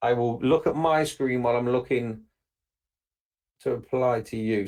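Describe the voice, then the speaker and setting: A man with an English accent speaks with fairly even intonation. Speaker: webinar presenter. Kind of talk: live webinar Q&A.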